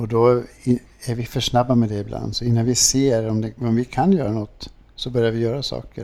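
At a moderate pace, a somewhat breathy man speaks with fairly even intonation. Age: old. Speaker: priest. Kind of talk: interview. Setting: café with small audience.

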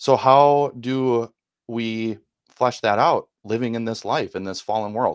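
A man speaks at a medium pitch and a fairly slow pace. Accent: Wisconsin. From Milwaukee, Wisconsin, US Midwest. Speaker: former FBI employee turned podcast co-host.

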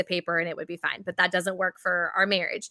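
Very clean, with a silent background, the recording captures a woman with a Southern accent and a bright, sharp tone talking at a very fast pace. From US South (Georgia). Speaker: budgeting coach and author. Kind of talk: interview.

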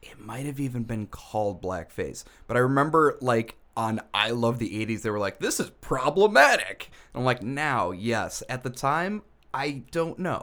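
On a very clean recording with a silent background, a man with an ordinary speaking voice speaks at a moderate pace and medium pitch with lively intonation. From US. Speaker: podcast co-host. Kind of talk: casual chat. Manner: sarcastic humor.

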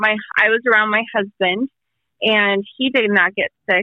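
Speaking at a fairly slow pace, a woman keeps a monotone, flat intonation in a fairly high pitch. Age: 30s. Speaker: COVID survivor. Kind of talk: interview. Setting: phone call.

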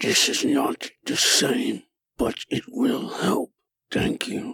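A man puts on a character voice with an extremely high pitch and a raspy sound. He speaks at a very slow pace. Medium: actual play. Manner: terse, formal, sparing with words.

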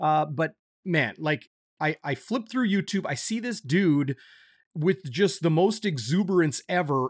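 A man with an unremarkable speaking voice talks at a fairly slow pace and a fairly high pitch. The sound is dry and close, with no echo. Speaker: sports broadcaster host. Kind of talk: live sports talk show. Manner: upbeat, friendly, casual.

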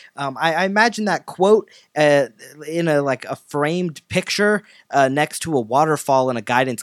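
With a normal speaking voice at a fairly high pitch, a man talks at a moderate pace with lively intonation. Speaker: podcast host. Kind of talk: casual interview.

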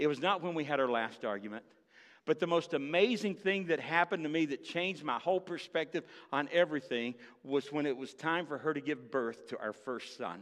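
Over a quiet background, a man with a fairly high pitch talks at a fairly quick pace, animated in tone and lively in intonation. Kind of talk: sermon, preacher teaching from Luke with audience interaction. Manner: animated, conversational, storytelling with humor and direct appeals to the congregation; emphatic, rallying, building to an urgent call.

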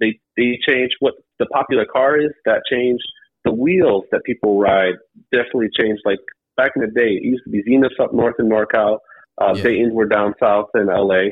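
With an American accent, a man speaks in an ordinary speaking voice at medium pitch, showing ordinary pitch variation and very even loudness. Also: moderate pace. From Cleveland, Ohio, US Midwest. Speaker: YouTuber documenting lowrider car shows. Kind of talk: casual interview chat. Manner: relaxed, casual, frequent 'man' and 'um'.

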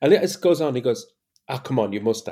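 Speaking at a very fast pace, a man shows vocal fry, lively intonation and a dark, mellow tone. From Ireland, Cork City. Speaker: youth sport researcher and coach. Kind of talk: casual interview chat.

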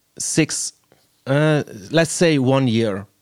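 In a Swiss German accent, a man speaks with a dry, close sound that has no echo. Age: 30s. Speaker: podcast host and DJ. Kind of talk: casual interview. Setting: video call. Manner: halting.

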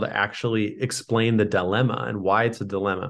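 The speaker has an American accent and a monotone, flat intonation. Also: man. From US West Coast, San Diego. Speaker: company founder. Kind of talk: podcast interview.

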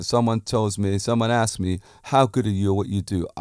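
Recorded very clean against a silent background, a man with a British accent speaks at a fairly low pitch in a dry, close sound with no echo. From Britain. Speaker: podcast host and fitness and martial arts instructor. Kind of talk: casual monologue. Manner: assured, confident; animated.

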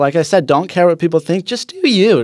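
Recorded very cleanly against a silent background, a man speaks at a high pitch with lively intonation. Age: 20s. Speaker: surfer and social media influencer. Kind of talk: casual interview. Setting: studio. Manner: animated.

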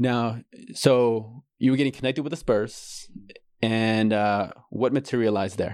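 Using a plain, everyday voice, a man speaks at a fairly slow pace with medium pitch and fairly even intonation. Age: 30s. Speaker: podcast host, life coach. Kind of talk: interview.

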